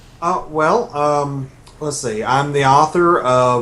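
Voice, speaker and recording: Using fairly even intonation, a man with an Arkansas accent speaks at a fairly slow pace. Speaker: novelist. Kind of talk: radio interview. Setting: radio. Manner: hesitant, many fillers.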